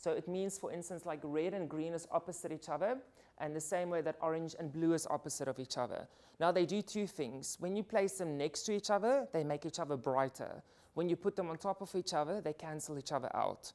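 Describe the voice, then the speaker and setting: A woman at a fairly quick pace with ordinary pitch variation. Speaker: portrait and beauty photographer. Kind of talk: workshop talk. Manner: fast.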